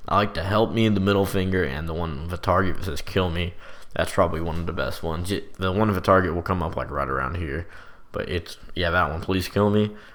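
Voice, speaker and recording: A man talks at a very fast pace with a very deep, low pitch and vocal fry. His intonation stays fairly even, and room echo is audible. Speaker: gaming youtuber. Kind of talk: gameplay commentary. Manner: casual.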